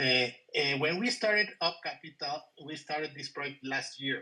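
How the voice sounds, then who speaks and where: A man speaks at a moderate pace. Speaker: company executive. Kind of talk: business presentation. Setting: video call.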